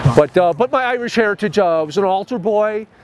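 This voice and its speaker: A man talking fairly quickly with a Chicago accent and lively intonation, over noticeable background noise. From Chicago, Illinois. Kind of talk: interview answer.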